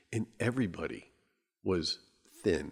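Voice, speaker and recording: Vocal fry runs through a voice with very wide pitch swings. The recording is very clean, with a silent background. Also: man. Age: 60s. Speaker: podcast host. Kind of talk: casual monologue. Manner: conversational, with fillers and restarts.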